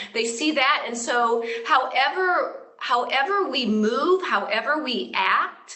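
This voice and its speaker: A woman with a high pitch speaks at a very slow pace, with hardly any pauses and lively intonation. There is noticeable background noise. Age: 60s. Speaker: yoga and fitness educator. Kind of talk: interview.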